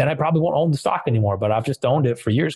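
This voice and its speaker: A somewhat breathy voice with an American accent and ordinary pitch variation, on a very clean recording with a silent background and a dry, close sound with no echo. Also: man. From US Midwest, West Michigan. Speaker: fintech entrepreneur. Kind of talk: casual interview.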